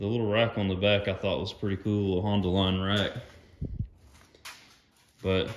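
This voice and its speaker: A man speaks in a fairly low voice at a moderate pace. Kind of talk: casual vlog chat. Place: garage. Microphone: phone near.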